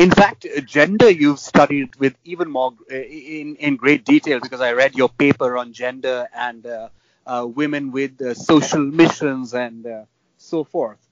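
Big swings in loudness mark this man's fairly high-pitched voice as he speaks at a fairly slow pace with ordinary pitch variation. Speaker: podcast host. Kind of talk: interviewing. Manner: halting, filler words.

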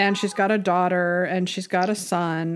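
Here is an unremarkable speaking voice at a fairly slow pace. The recording is very clean, with a silent background. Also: woman. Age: 50s. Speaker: podcast co-host. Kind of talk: casual chat.

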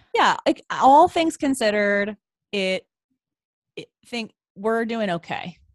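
Speaking very slowly with long, frequent pauses, a woman with a fairly high pitch uses lively intonation and big swings in loudness in a dry, close recording with no echo. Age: 30s. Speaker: podcast co-host. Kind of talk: casual chat.

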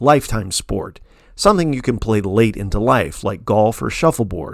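A man with an unremarkable speaking voice, medium pitch, lively intonation, and a moderate pace on a very clean recording with a silent background. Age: 50s. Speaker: essayist reading own newsletter. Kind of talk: scripted narration.

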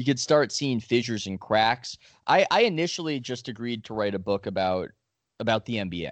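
At a fairly quick pace and medium pitch, a man talks in an ordinary speaking voice with lively intonation. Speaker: sports reporter and author. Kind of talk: casual interview conversation.

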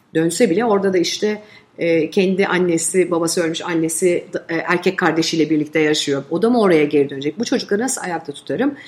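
Amid noticeable background noise, a woman talks at a very fast pace, her fairly low pitch varying in an ordinary way. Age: 40s. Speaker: advertising agency head. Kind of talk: interview conversation.

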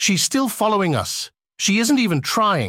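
A put-on character voice with a fairly high pitch speaks at a moderate pace in a very clean recording with a silent background. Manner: terrified.

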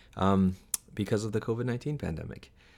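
Ordinary pitch variation marks a man's speech in an American accent. The background is silent and the recording very clean. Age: 40s. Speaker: podcast host and English teacher. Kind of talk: casual chat. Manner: hesitant, many fillers.

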